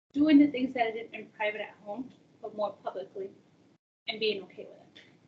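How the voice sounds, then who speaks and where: At a fairly quick pace, a woman with a dark, mellow tone and a fairly high pitch sounds somewhat breathy, her loudness swinging widely. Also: ordinary pitch variation. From Peru, raised in US from age seven. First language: Spanish. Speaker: college access advisor. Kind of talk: personal interview talk. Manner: casual, many fillers.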